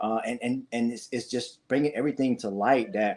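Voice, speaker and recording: This man's voice rests at a medium pitch. The intonation is fairly even throughout. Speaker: beekeeper. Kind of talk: interview. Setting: live stream. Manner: fast.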